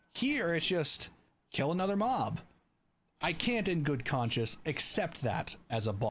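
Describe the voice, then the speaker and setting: Very wide pitch swings at a moderate pace, in a very clean recording with a silent background. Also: man. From Canada. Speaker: streamer and video creator. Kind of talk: recording a voiceover while livestreaming, with repeated retakes and chat replies; casual chat with viewers. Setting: livestream. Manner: repeated retakes of lines.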